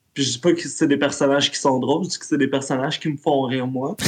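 Talking at a moderate pace, a man uses a fairly high pitch. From Quebec. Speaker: role-playing game player. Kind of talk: casual chat.

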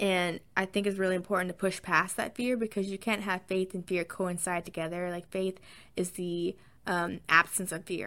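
On a very clean recording with a silent background, a woman with a slight Southern US accent talks at a moderate pace in a bright, sharp tone. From US South. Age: 20s. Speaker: podcaster. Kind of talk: casual chat, solo podcast. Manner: animated, excited.

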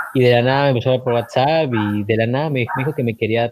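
This man's voice sits at a medium pitch. He speaks very fast, keeping his intonation fairly even. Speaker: student, podcast co-host. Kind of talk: casual chat.

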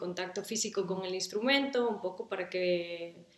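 A woman talks at a medium pitch with noticeable background noise present. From Galicia, Spain (coastal village). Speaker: musician and mother. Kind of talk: casual interview.

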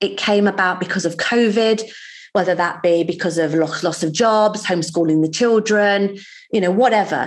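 A plain, everyday voice moves at a moderate pace with ordinary pitch variation against a quiet background. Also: woman. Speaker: financial services trainer. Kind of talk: podcast interview.

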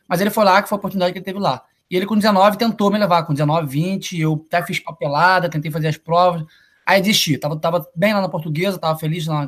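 A man with a high pitch speaks at a very fast pace with ordinary pitch variation. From Brazil, Niterói (Rio de Janeiro state). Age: 20s. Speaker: college soccer player. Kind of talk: casual interview. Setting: live video stream.

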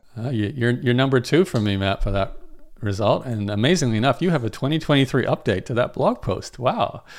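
In a very clean recording with a silent background, a man with a plain, everyday voice speaks at a fairly quick pace, medium in pitch with lively intonation. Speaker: online marketer. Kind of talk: casual chat.

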